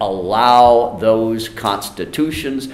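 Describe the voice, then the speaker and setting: A man's voice carries audible room echo against light background noise. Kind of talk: press conference answer. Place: meeting room.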